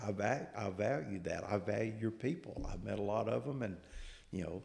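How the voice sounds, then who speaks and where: With a Southern accent, a man talks at a moderate pace in a fairly low pitch with vocal fry, and audible room echo surrounds his voice. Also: ordinary pitch variation. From US South. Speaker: agricultural researcher. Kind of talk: podcast interview.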